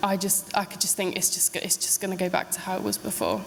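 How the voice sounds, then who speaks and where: Over noticeable background noise, a woman talks at a very fast pace in a medium pitch, her intonation monotone and flat. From Devon, England. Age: 20s. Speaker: midwifery student. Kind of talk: public talk to an audience.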